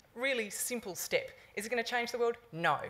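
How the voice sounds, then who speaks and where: A woman with an Australian accent at a fairly quick pace. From Sydney, Australia. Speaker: sports community engagement manager; conference presenter. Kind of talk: conference talk. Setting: conference stage with audience. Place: hall. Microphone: podium.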